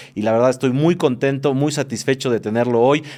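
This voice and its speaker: Here a man speaks at a very fast pace with ordinary pitch variation. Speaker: podcast host. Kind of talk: casual interview chat.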